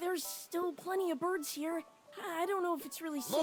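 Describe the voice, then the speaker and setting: A put-on character voice at a fairly quick pace. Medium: game stream. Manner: hesitant, stammering.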